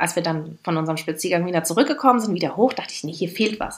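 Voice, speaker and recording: Here, a woman is speaking. Her pitch is medium. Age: 30s. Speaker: podcast co-host. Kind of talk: casual chat.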